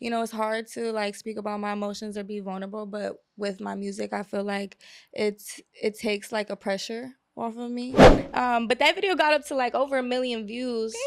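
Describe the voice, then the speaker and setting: A woman's plain, everyday voice, fairly high in pitch, at a fairly quick pace with fairly even intonation. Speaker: singer-songwriter. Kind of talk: interview answer. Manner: casual, relaxed.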